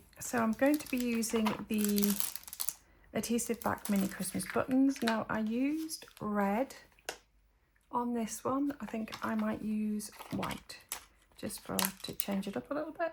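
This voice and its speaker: A woman speaks at a fairly slow pace with a slight Geordie accent, her pitch fairly high and its variation ordinary. Long, frequent pauses break up her speech, and noticeable background noise runs underneath. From northeast England, Northumberland (Geordie). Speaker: papercraft demonstrator. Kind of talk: crafting tutorial. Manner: casual, hesitant with fillers.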